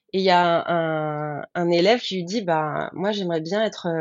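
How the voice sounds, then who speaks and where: A woman's unremarkable speaking voice, fairly low in pitch, with ordinary pitch variation. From Picardy, France (Baie de Somme, countryside). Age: 30s. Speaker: former lawyer turned freelance florist. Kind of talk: interview testimony.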